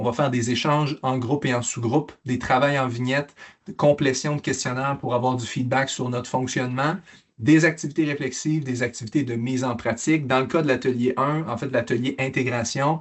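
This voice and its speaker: This man talks fairly quickly. His voice is medium in pitch and his intonation fairly even. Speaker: mental health program presenter. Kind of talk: conference presentation. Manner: fast; halting with repetitions.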